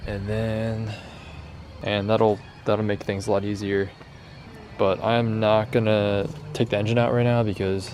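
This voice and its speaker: A soft-spoken man talks at a moderate pace with fairly low pitch and fairly even intonation. The recording has audible room echo and noticeable background noise. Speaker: car DIY youtuber. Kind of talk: work vlog narration. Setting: garage at night.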